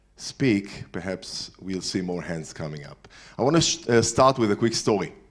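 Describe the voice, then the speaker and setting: A man speaks with an Israeli accent at a fairly slow pace. His fairly low voice has lively intonation in a very clean recording with a silent background. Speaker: entrepreneur speaker. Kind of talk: lecture. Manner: halting.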